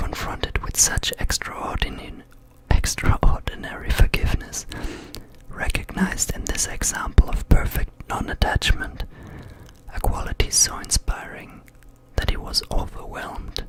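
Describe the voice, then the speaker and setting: A man whispering with a German accent at a moderate pace over noticeable background noise. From Germany. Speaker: ASMR content creator. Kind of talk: ASMR reading aloud from a book. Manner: whispered, relaxing.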